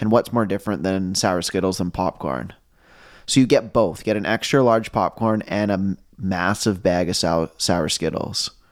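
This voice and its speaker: The recording is very clean, with a silent background. A man talks at a moderate pace in a very deep, low pitch, with ordinary pitch variation. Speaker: podcast co-host. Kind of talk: casual chat. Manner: casual, animated.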